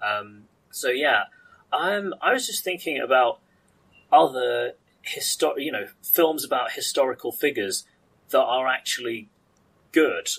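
With a British accent, a man speaks at a fairly slow pace. Long, frequent pauses break up his speech. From UK. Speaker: podcast host. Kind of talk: casual chat. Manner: halting.

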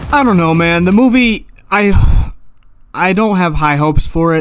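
A man is shouting. His intonation stays lively throughout. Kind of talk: casual reaction rant to camera. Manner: loud, yelling.

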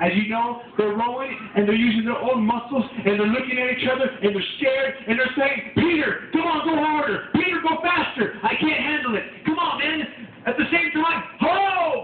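A man's extremely high pitch with lively intonation and hardly any pauses, audible room echo and light background noise. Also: moderate pace. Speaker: preacher. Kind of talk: tent revival sermon. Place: tent. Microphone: camera far.

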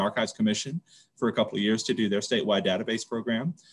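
This is a man with an American accent. His pitch varies in an ordinary way. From US South, rural central Louisiana. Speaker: school library administrator. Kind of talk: casual interview chat; interview answer. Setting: video call. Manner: repetitive, halting with fillers. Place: home room. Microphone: video call.

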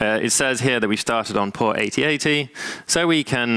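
The tone is bright and sharp, yet also clear and smooth. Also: man.

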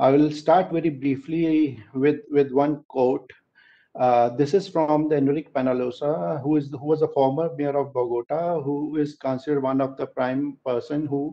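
A man speaks at a moderate pace. His intonation is fairly even. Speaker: presenter. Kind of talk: presentation talk. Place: home room. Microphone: headset.

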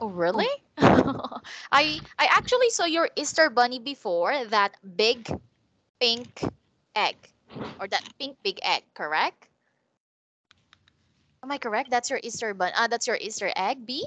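A woman with a bright, sharp tone and a high pitch speaks over a quiet background, leaving long, frequent pauses. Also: lively intonation, fairly slow pace, dry sound with no echo. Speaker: online English teacher. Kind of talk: tutoring conversation with a child. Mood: warm, encouraging, smiling. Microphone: headset.

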